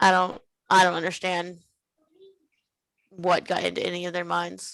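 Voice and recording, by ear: A woman talks at a fairly slow pace with monotone, flat intonation and vocal fry. Her pitch is fairly low and her tone fairly bright.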